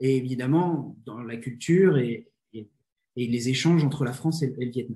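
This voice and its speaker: Speaking at a fairly slow pace, a man has a dark, mellow tone that is somewhat breathy. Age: 20s. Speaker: business consultant and coach. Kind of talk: interview. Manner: hesitant, frequent fillers and repetitions.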